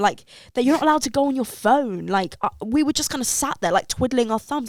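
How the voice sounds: With lively intonation, a woman speaks in a slightly mellow tone.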